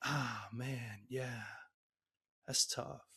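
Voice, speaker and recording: A man's raspy, put-on character voice at medium pitch. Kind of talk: slow, smooth delivery.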